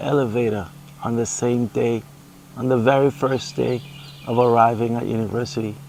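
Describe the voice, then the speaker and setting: A man with a Caribbean accent talks at a moderate pace over noticeable background noise. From Montserrat, Caribbean. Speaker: paraplegic husband, gardener. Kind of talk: casual Q and A interview.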